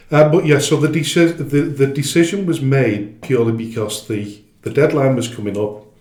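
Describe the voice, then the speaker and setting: In a room with audible echo, a man speaks at a moderate pace with hardly any pauses. His voice is somewhat breathy and fairly high, with ordinary pitch variation. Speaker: football club chairman. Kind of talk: interview. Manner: halting, many fillers and restarts.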